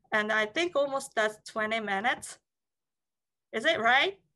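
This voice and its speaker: A woman speaks in a Japanese accent with a high pitch and a bright, sharp tone. Her intonation is lively, and the background is quiet. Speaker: licensed tour guide. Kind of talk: online talk.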